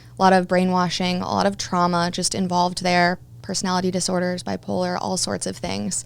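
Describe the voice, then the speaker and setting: This woman has a Midwestern American accent and speaks at a fairly quick pace. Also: very clean recording, silent background. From Kansas City area, US Midwest. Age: 20s. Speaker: personal trainer and yoga teacher, former radio DJ. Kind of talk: interview, personal testimony.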